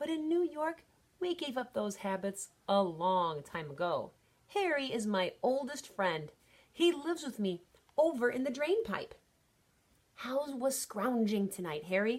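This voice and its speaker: Putting on a character voice, a woman speaks at a moderate pace, squeaky and high-pitched, with very wide pitch swings. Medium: read story. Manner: breezy, streetwise.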